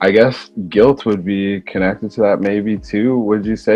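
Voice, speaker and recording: A man's fairly low voice at a moderate pace, ordinary pitch variation, music playing in the background. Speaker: podcast host and relationship coach. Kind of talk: casual interview conversation. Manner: soft-spoken.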